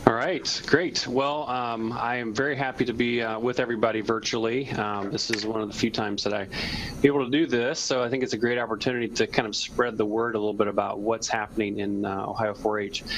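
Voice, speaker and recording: Over noticeable background noise, a man with an American accent talks at a very fast pace with fairly even intonation. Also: medium pitch for a man. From North Carolina. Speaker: youth extension educator. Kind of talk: interview.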